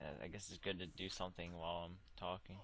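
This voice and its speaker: Mumbling at a fairly quick pace, a man speaks in a very deep, low voice. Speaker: gamer livestreaming. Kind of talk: casual chat. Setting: voice chat while gaming.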